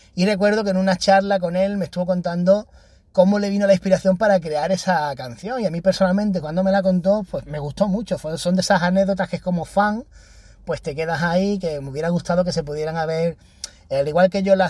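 Here a man speaks in a high pitch with a dark, mellow tone. His pace is fairly quick and his pitch variation ordinary. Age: 30s. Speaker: podcaster. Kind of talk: casual monologue.

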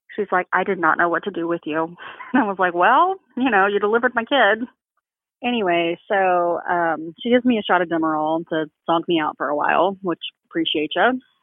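Using a plain, everyday voice, a woman speaks fairly quickly at a medium pitch with ordinary variation. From Texas. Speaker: bereaved mother. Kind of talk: testimony.

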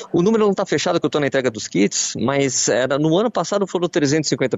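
A man talks at a very fast pace. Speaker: radio running columnist. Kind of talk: radio chat.

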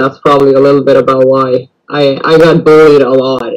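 A moderate pace in a Norwegian accent. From northern Norway; Lofoten islands, Norway. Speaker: PTSD support group admin. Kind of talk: casual chat. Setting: video call.

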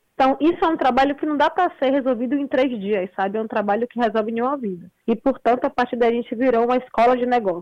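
A woman with a high voice speaks very fast, with hardly any pauses. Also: ordinary pitch variation. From Brazil, Salvador (Bahia). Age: 20s. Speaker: entrepreneur. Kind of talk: interview.

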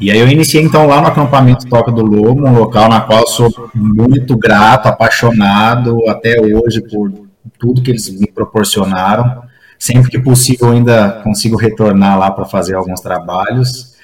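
A man with a medium-pitched, somewhat breathy voice talks at a moderate pace. His intonation stays fairly even. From Brazil, interior of São Paulo state (Franca). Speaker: recreation professional and leisure manager. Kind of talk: casual interview chat.

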